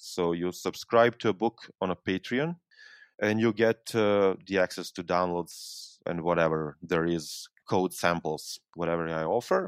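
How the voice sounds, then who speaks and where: On a very clean recording with a silent background and a dry, close sound with no echo, a man with a Serbian accent speaks at a fairly slow pace in a very deep, low pitch with ordinary pitch variation. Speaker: university lecturer and software developer. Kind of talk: interview. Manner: halting.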